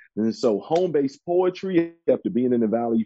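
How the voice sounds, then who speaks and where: A plain, everyday voice with an American accent, lively intonation and a moderate pace. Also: man. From Chicago west side. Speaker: spoken word artist.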